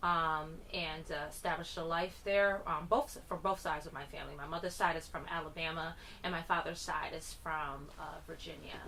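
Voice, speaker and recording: A woman's fairly low voice with a US Northeastern accent, at a moderate pace, with audible room echo. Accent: US Northeast. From Connecticut, US. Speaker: musician. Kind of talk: radio interview.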